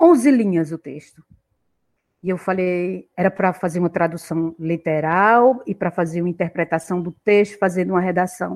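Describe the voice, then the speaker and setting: A woman speaks at a moderate pace in an unremarkable speaking voice. Her pitch sits in the medium range. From Pernambuco interior, Brazil (Agreste, near Caruaru). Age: 60s. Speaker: university professor. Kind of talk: interview, life story.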